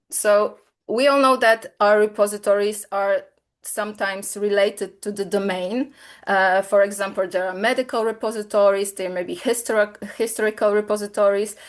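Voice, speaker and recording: With a Polish accent, a woman talks at a moderate pace in a medium pitch with fairly even intonation against a quiet background. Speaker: software company presenter. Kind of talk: webinar product demo. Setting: online webinar. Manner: hesitant, many fillers.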